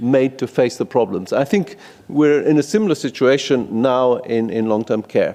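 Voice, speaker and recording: At a moderate pace, a man with a Greek accent talks with a dark, mellow tone, medium pitch and lively intonation. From Greece. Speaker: policy researcher. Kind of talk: conference presentation. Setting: conference room in parliament. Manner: halting.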